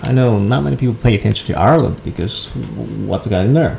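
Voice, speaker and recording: Lively intonation from a man over noticeable background noise. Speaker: marketing director and entrepreneur. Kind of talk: casual interview.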